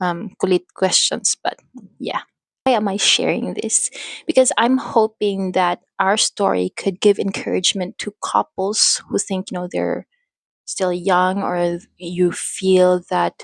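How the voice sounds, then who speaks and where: Very slowly, a woman with a Filipino accent speaks with fairly even intonation. The sound is dry and close, without echo. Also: medium pitch for a woman. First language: Filipino language. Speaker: faith vlogger and mother. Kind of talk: personal testimony. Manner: halting. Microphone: new microphone.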